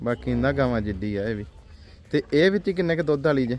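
A man talks at a medium pitch. His tone is slightly mellow.

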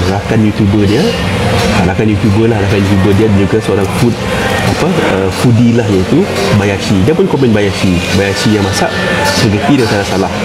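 A man at a moderate pace with ordinary pitch variation, over loud background noise. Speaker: commentator on viral food issues. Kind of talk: casual commentary chat. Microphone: phone near.

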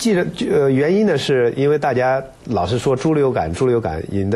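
Using a plain, everyday voice, a man talks at a moderate pace and medium pitch with lively intonation. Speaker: radio health program host. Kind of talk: interview. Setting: studio. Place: studio. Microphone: lapel.

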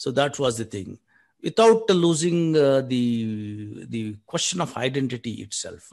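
Against a quiet background, a man with a Telugu accent speaks at a fairly slow pace, his pitch swinging very widely. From South India. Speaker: poet. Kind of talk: poetry reading. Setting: video call. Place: home room. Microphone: video call.

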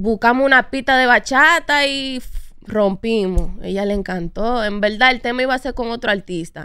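A bright, sharp tone with ordinary pitch variation sits over a quiet background, the sound dry and free of echo. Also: woman, moderate pace. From New York, US (Dominican family). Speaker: urban music singer and songwriter; guest. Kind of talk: interview. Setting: studio. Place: studio. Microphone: studio mic.

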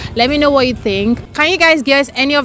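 A woman at a fairly quick pace, with light background noise and a dry, echo-free sound. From Nigeria. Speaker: YouTuber doing street interviews. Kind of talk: street interview vlog. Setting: outdoors on a city street. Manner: animated, laughs often. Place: street.

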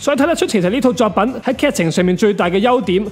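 Over noticeable background noise, a man speaks very fast in a high pitch with lively intonation. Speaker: anime review YouTuber. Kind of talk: scripted video commentary.

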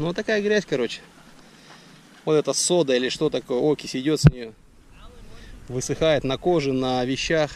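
At a moderate pace, a man speaks with ordinary pitch variation and long, frequent pauses, in a dry sound with no echo and light background noise. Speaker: travel vlogger. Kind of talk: vlog narration. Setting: outdoors. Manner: casual. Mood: relaxed, descriptive. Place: open country. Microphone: phone near.

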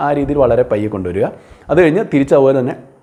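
A man's voice at a fairly high pitch. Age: 40s. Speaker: beauty and wellness video creator. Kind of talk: tutorial.

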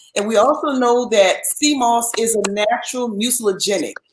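In a room with audible echo, a woman talks at a fairly slow pace with a fairly high pitch and ordinary pitch variation. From New Orleans. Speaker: former nurse and supplement seller; supplement seller. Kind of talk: interview. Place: home room.

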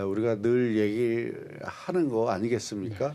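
At a fairly slow pace, an unremarkable speaking voice comes through in a very clean recording with a silent background. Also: man. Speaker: TV program host. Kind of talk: interview-style educational TV discussion.

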